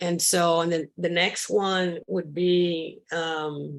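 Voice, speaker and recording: Her voice fairly low, a woman speaks at a very slow pace with fairly even intonation. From Cuba. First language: Spanish. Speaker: sculptor. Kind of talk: interview. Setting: video call. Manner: halting.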